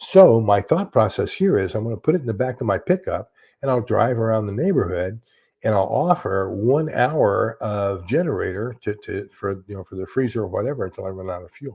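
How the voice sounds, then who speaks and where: Against a quiet background, a man talks fairly quickly at medium pitch, somewhat breathy, with a dark, mellow tone, lively intonation and big swings in loudness. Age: 70s. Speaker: YouTuber talking about prepping and books. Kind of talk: casual livestream chat. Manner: halting, with many repeated words.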